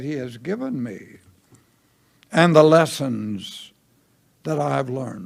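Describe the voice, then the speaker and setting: A man speaks at a fairly slow pace with a Southern US accent. His intonation is lively. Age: 90s. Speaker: pastor. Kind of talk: sermon. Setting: church.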